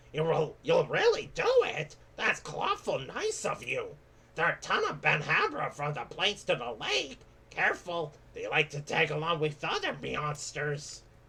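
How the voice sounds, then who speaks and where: A man's put-on character voice at a moderate pace. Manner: cute, punning.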